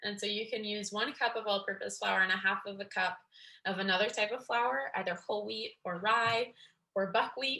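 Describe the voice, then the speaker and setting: A woman's bright, sharp tone with vocal fry, medium pitch, fairly even intonation and a moderate pace. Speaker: graduate student leading a cooking workshop. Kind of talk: workshop instruction.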